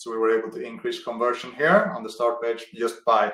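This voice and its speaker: A man talking at a fairly quick pace. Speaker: conversion optimization expert. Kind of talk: webinar presentation. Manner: fast.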